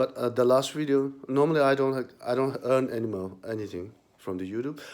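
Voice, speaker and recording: Delivered at a moderate pace with a non-native accent, the speech shows ordinary pitch variation. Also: man. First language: not English. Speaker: YouTuber. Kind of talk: vlog commentary. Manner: halting.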